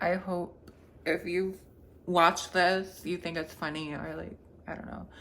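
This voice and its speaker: Monotone and flat, a woman talks at a moderate pace. Her pitch sits fairly low. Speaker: vlogger. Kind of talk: casual vlog monologue. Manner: casual, rambling with many fillers.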